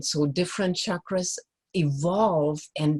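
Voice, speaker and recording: Very slowly, a woman speaks in a very deep, low, somewhat breathy voice with fairly even intonation, the sound dry and close with no echo. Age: 60s. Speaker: joy coach, energy healer. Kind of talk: talk at a live event, teaching and personal story.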